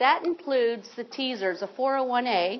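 Speaking at a fairly slow pace with an American accent, a woman uses ordinary pitch variation over noticeable background noise. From Ohio, rural farm. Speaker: state retirement system representative. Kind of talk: informational seminar presentation.

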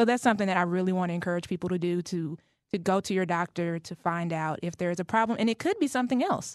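A woman with an American accent speaks at a very fast pace and medium pitch, with ordinary pitch variation. The sound is dry with no echo, and the background is quiet. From Dallas, Texas; Texas. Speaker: family caregiver and advocate; guest. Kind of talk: radio interview. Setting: studio. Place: studio.

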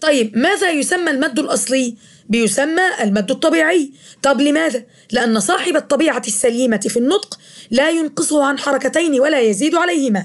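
At a moderate pace, a woman speaks in a high pitch with very even loudness. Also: lively intonation. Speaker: teacher. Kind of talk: lecture.

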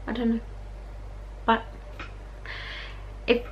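A woman speaks in an Australian accent. Light background noise can be heard. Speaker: vlogger. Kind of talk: casual vlog talk to camera. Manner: chatty, informal. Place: home room. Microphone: phone near.

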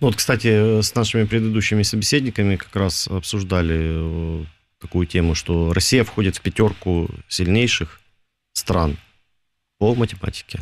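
A man speaks in a normal speaking voice at a fairly low pitch. His pace is moderate and his pitch varies in an ordinary way. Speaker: radio host. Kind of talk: casual chat. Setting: studio. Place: studio.

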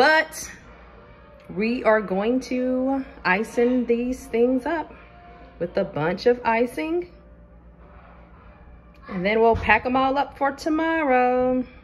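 At a very slow pace with long, frequent pauses, a woman speaks in a high pitch over faint music in the background. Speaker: home baking vlogger mom. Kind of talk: casual vlog chat. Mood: cheerful. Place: kitchen. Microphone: phone near.

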